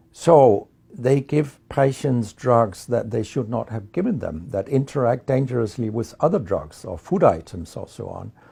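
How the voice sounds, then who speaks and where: Fairly slow speech from a man with a Danish accent, medium in pitch, with a dark, mellow tone and vocal fry. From Denmark. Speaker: medical researcher and professor. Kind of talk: interview monologue. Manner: some hesitations.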